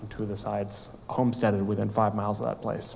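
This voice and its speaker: A man speaks with an American accent in monotone, flat intonation. Audible room echo is present. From US Midwest, rural Minnesota. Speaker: startup founder and CEO. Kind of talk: conference talk. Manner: halting.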